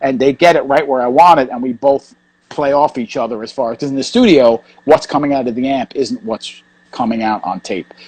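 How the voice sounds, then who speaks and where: The speaker talks at a fairly quick pace in a New York accent, with ordinary pitch variation. The sound is dry and close, with no echo. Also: man, medium pitch for a man. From New York, Queens. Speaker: hardcore punk bassist. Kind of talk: casual interview. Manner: fast.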